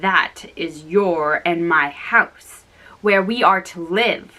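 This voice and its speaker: A woman in a put-on character voice growls at a very slow pace, her medium pitch varying in an ordinary way. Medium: read story. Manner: blunt, teasing.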